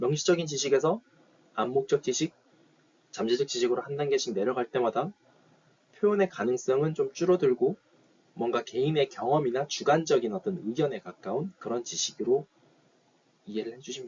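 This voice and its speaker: Somewhat breathy and fairly high-pitched, a man speaks at a fairly quick pace with big swings in loudness. He leaves long, frequent pauses. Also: lively intonation. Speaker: university lecturer. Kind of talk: lecture. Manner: fast.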